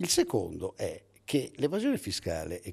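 The man's voice has a dark, mellow tone and is somewhat breathy. He speaks at a moderate pace over a quiet background. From Italy, Veneto (Padua); Veneto, Italy. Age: 60s. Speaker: economics professor. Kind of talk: interview; interview answer. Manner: halting, with self-corrections. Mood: argumentative, lively. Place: hall. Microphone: handheld.

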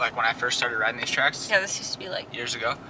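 Light background noise sits under a man's voice, which sounds dry with no echo. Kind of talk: casual vlog chat. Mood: amused, laughing. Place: car. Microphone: phone near.

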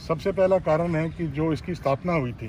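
Speaking at a moderate pace, a man uses a fairly high pitch and a slightly mellow tone, with ordinary pitch variation.

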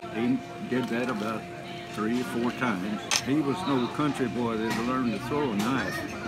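A man talks at a moderate pace over loud music in the background. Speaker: storyteller. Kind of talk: storytelling anecdote. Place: cafe. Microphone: phone near.

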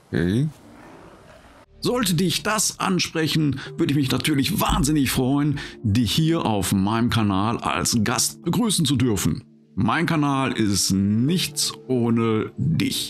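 A man speaks very slowly at a medium pitch, with very wide pitch swings but very even loudness. Faint music plays in the background. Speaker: gaming video creator. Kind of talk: casual gameplay commentary; casual channel introduction. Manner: calm.

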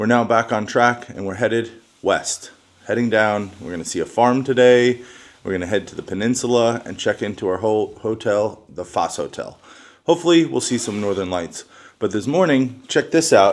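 The speaker goes at a moderate pace with ordinary pitch variation and big swings in loudness. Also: man. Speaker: travel vlogger. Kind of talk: casual vlog chat. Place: home room. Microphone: phone near.

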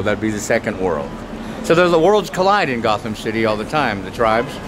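A man talks with an American accent. There is noticeable background noise. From Portland, Oregon. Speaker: street artist and poet. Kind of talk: interview answer. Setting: outdoors. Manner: fast, rapid-fire. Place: street. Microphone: phone near.

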